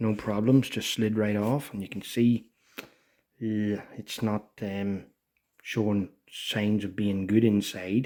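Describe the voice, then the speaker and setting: Soft-spoken and very slow, a man speaks in a fairly low pitch with a dark, mellow tone and monotone, flat intonation. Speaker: motorcycle restorer. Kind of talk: tutorial. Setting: at home. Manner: soft-spoken, talking quietly.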